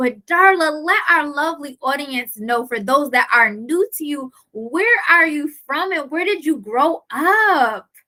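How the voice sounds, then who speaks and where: Her voice raised and projected, a woman speaks at a high pitch and fairly slow pace, animated and lively in intonation, with hardly any pauses. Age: 30s. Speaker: life coach and interview host. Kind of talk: interview.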